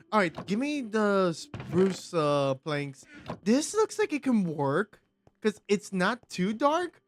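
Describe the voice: A slow pace in a dry, close sound with no echo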